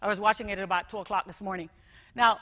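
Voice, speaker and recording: This woman has a bright, sharp tone and a fairly high pitch. She speaks with a Jamaican accent. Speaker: school technology director. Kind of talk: conference talk.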